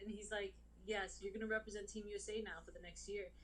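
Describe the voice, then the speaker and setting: A woman with a New York accent, with audible room echo. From US Northeast, New York City. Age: 30s. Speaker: boxer. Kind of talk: interview. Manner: casual, many fillers.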